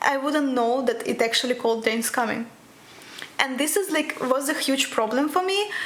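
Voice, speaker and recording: A woman with a Russian accent speaks at a high pitch and a moderate pace, with lively intonation and very even loudness. Noticeable background noise is present. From Russia, Krasnoyarsk. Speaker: physics PhD student. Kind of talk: interview.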